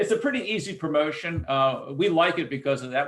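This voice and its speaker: Talking at a fairly quick pace, a man uses a fairly high pitch. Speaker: mailing industry executive presenting a webinar. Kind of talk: webinar presentation. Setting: online webinar. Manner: fast; casual with frequent fillers.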